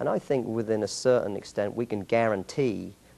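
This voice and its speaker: The voice has a dark, mellow tone and an English accent. Its intonation is fairly even. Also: man. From England. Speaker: martial arts master instructor. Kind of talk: interview. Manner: halting, many repeated words.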